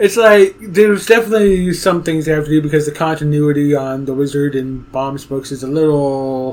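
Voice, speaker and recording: A man with a fairly high pitch talks in a normal speaking voice with ordinary pitch variation. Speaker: podcast host. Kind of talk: casual interview. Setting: live stream online.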